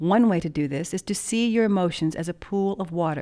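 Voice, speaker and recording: This woman's voice has a dark, mellow tone and a fairly low pitch with ordinary pitch variation. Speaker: meditation teacher. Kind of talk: guided meditation and instructional talk. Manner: measured, formal.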